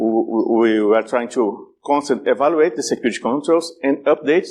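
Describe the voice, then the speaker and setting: A man speaks with a strong Brazilian accent. His pace is fairly quick. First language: Portuguese. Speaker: security conference speaker. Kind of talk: conference talk. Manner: halting, many repetitions and fillers.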